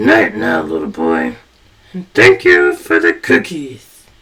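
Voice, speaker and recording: A man growls through a put-on character voice at a fairly slow pace. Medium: read story. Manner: warm, gentle.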